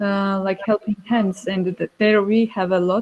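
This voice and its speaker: Dry and close with no echo, a woman with a Georgian accent speaks at medium pitch and a moderate pace in a monotone, flat intonation. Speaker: winemaker. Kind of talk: panel discussion. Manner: halting.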